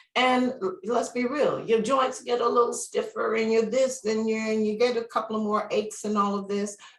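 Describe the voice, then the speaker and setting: Noticeable background noise sits under a monotone, flat delivery. The pace is moderate, with hardly any pauses. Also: woman, fairly high pitch for a woman. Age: 60s. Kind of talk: interview answer. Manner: casual, conversational.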